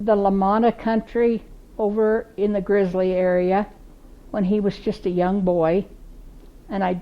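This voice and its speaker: Fairly slow and fairly even in intonation, this voice carries a Pacific Northwest accent. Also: woman. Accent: Pacific Northwest American. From Central Oregon, USA. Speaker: oral history interviewee. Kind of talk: oral history reminiscence. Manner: warm, humorous storytelling.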